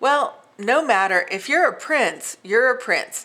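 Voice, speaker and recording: Putting on a croaky character voice, a woman talks at a fairly slow pace and a fairly high pitch. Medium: read story.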